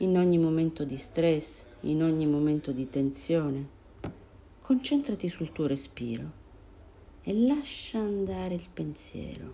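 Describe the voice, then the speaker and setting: Speaking at a very slow pace with long, frequent pauses, a woman uses a very deep, low pitch. Her tone is dark, mellow, calm and soothing, and her intonation is lively. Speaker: meditation guide. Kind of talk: guided meditation. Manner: slow, calm, soothing with long pauses; gentle, soft-spoken.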